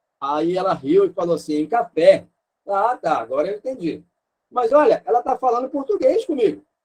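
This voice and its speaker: A man speaks in a Rio de Janeiro accent at an extremely high pitch, with very wide pitch swings. The sound is dry and close, with no echo. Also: moderate pace. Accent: carioca. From Rio de Janeiro, Brazil. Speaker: missionary teacher. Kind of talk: online lecture.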